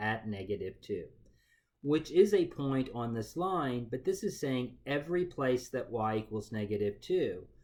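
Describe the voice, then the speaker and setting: A man with a medium pitch and a plain, everyday voice, at a fairly slow pace, on a very clean recording with a silent background. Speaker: math teacher. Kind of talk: lecture.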